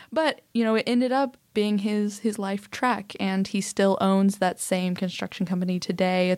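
A woman speaks in a plain, everyday voice at a medium pitch and a moderate pace. Her loudness stays very even in a very clean recording with a silent background. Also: fairly even intonation, hardly any pauses. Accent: American. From Oklahoma City, US. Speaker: social entrepreneur. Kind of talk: interview conversation.

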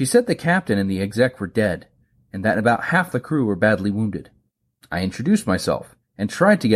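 The text is read aloud plainly, and the background is quiet.

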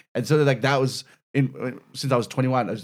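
A man with an Australian accent talks on a very clean recording, and the background is silent. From Melbourne, Australia (Mill Park / Whittlesea). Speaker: stand-up comedian. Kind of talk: casual chat.

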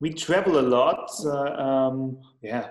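A man with a German accent speaks at a medium pitch. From Austria, Lech (Vorarlberg). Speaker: magazine founder. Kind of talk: casual chat. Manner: halting.

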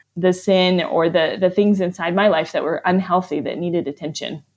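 In an American accent, a woman with an unremarkable speaking voice talks at a fairly quick pace and medium pitch with ordinary pitch variation. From US, Arizona and Vermont. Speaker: author and church planter. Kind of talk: interview.

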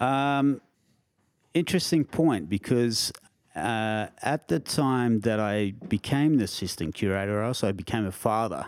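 With an Australian accent, a man at a medium pitch speaks fairly slowly using lively intonation. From Australia, Canberra. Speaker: bonsai collection curator. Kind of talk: casual interview. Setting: in person, Canberra.

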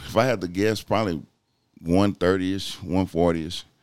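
In a Southeast Texas accent, a man talks at a moderate pace. His tone is dark and mellow, with ordinary pitch variation. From Southeast Texas, Port Arthur and Beaumont. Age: 40s. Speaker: bodybuilder and fitness enthusiast. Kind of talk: casual interview.

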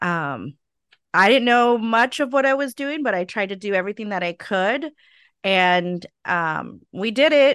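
Over a quiet background, a woman with a Californian accent speaks with lively intonation in a dry, close sound with no echo. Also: medium pitch for a woman, fairly slow pace. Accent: Californian American. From California (Stockton). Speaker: preschool owner and director. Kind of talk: interview, personal testimony. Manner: frequent fillers (um).

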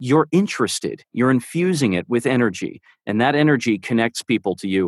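Recorded very cleanly against a silent background, with a dry, close sound and no echo, a man speaks in an unremarkable speaking voice at medium pitch, moderate pace, and lively intonation. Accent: American. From New York. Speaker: audiobook narrator and dialect coach. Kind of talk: casual chat.

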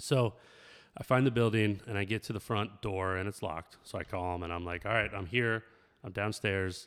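A man talks with a normal speaking voice at a fairly low pitch. He keeps a moderate pace and fairly even intonation. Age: 40s. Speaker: podcast co-host. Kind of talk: casual chat. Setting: home garage.

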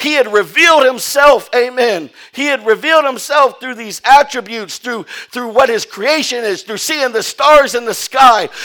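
Raised, projected voice at a moderate pace with ordinary pitch variation. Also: man. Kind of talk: sermon. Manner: animated call-and-response preaching, repeating phrases and prompting "Amen"; emphatic, rising-intensity delivery urging the congregation to stand.

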